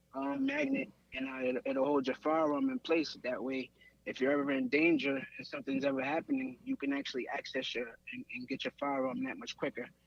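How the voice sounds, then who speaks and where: Moving at a fairly quick pace, a man's voice swings very widely in pitch. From New York. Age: 30s. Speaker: gun accessory business founder. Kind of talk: podcast interview. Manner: casual, filler-heavy.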